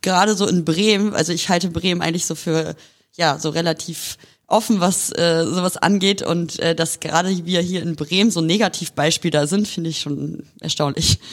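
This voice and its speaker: At a moderate pace, a woman with a fairly low pitch speaks in a normal speaking voice. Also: fairly even intonation. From northern Germany, near Hanover. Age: young. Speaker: lawyer. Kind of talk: casual interview. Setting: law office.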